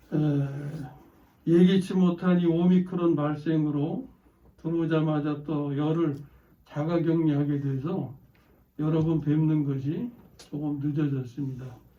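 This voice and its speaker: A man talks at a very slow pace, with long, frequent pauses and a fairly high pitch. His tone is dark and mellow, and audible room echo surrounds the voice. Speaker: pastor. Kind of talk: sermon. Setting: church. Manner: slow and clearly enunciated.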